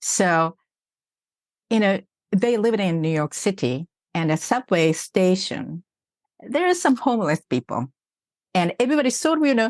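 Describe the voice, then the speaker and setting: A woman talks at a fairly slow pace with a Japanese accent, her medium pitch carried by lively intonation. The sound is dry and close with no echo, over a quiet background. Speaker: executive coach. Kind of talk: podcast interview.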